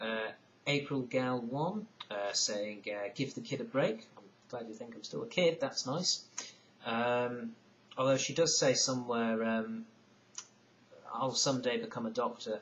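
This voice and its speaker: Speaking with a northern English accent, a man talks at a fairly slow pace with long, frequent pauses. His medium pitch has ordinary variation, and his loudness swings widely. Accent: broad northern English, mistaken for Irish. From northern England (Lake District, Isle of Man). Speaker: video blogger. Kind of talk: casual vlog monologue. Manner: hesitant, many fillers and repetitions.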